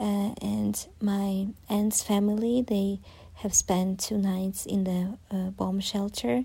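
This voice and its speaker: A woman with a Ukrainian accent speaks at a very slow pace, somewhat breathy. Her tone is dark and mellow, with fairly even intonation. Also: medium pitch for a woman. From southern Ukraine, Zaporizhzhia. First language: Ukrainian (speaking Chinese). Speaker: Ukrainian expat interviewee. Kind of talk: interview answers. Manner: halting with frequent fillers.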